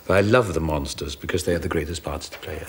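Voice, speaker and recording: A man talks with a Welsh accent. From South Wales. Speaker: actor. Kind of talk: interview answer. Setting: TV studio.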